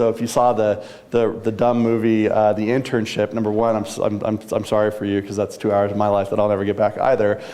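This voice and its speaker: Monotone, flat delivery from a man at medium pitch, fairly quick in pace, over noticeable background noise. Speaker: news industry business executive and speaker. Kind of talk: talk to a live audience. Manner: fast.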